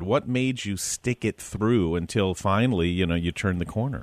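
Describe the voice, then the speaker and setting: A man with a plain, everyday voice talks at a fairly quick pace with lively intonation against a quiet background. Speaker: radio host. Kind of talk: radio interview show. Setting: studio.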